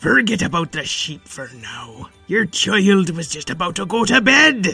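In a put-on character voice, a man speaks high with very wide pitch swings while faint music plays in the background. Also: moderate pace. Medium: audio drama. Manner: loud, blustering.

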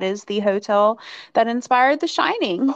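Against a quiet background, a woman with an unremarkable speaking voice and an American accent talks at a moderate pace with ordinary pitch variation. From rural Virginia, US. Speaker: podcast co-host. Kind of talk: casual chat.

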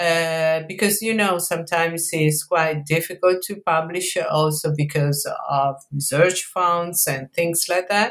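With an Italian accent, a woman speaks at a fairly slow pace and a fairly low pitch, her intonation fairly even. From Italy, Mantua. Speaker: history professor, author. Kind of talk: academic interview. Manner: hesitant, many fillers.

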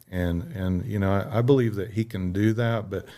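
A man's fairly low voice moves at a moderate pace, its pitch varying in an ordinary way. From Southwest Missouri, US. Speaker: minister and missionary. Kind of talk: testimony. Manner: halting, many fillers and repeats.

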